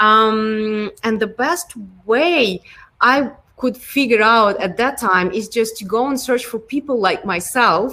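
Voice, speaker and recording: With a Ukrainian accent, a woman speaks very slowly in a fairly high pitch, her tone bright and sharp, with ordinary pitch variation. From Ukraine. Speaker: product design lead. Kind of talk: interview. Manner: hesitant, many fillers.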